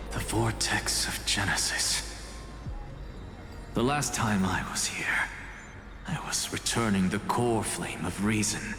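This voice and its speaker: Someone whispers in a put-on character voice at a fairly slow pace with long, frequent pauses, with slight echo and loud background noise. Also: man. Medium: fan dub. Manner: wry, measured.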